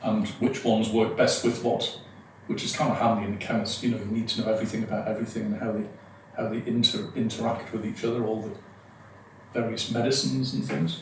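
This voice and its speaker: This man's voice sits at a medium pitch with ordinary pitch variation, and he talks at a very fast pace. Noticeable background noise and audible room echo fill the recording. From northeast England. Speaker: hypnotist and performer. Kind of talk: podcast interview.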